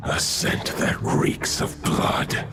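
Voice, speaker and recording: Loud background noise runs under a man doing a put-on character voice. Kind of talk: solemn video-game dialogue. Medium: machinima. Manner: formal, archaic, measured.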